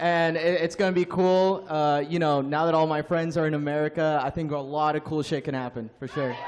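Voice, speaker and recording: Against noticeable background noise, a man talks at a moderate pace. His pitch is fairly high, with ordinary variation. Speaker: streamer and YouTuber; streamer, YouTuber. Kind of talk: live convention panel. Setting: stage with audience. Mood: relaxed, friendly. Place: hall. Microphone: handheld.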